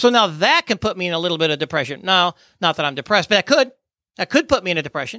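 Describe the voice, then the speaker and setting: A man with a high pitch and a bright, sharp tone speaks in a raised, projected voice with lively intonation at a very fast pace. The recording is very clean with a silent background and a dry, close sound with no echo. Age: 50s. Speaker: podcast host and death investigation trainer. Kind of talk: interview. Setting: studio.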